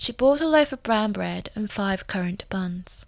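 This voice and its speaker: This woman has a normal speaking voice at medium pitch with ordinary pitch variation and a moderate pace. The recording is very clean, with a silent background. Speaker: voice actor. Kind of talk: storybook reading. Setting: home recording demo.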